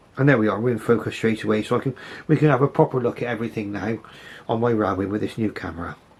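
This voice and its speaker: A man's somewhat breathy voice at medium pitch, very fast in pace, with ordinary pitch variation. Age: 60s. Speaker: model railway hobbyist. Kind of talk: casual video commentary. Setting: home model railway. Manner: halting.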